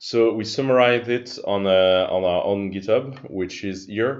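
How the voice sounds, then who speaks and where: A man with a French accent speaks at a fairly low pitch with ordinary pitch variation. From France. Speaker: open-source ventilator project member. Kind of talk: technical explanation. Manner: halting, many fillers.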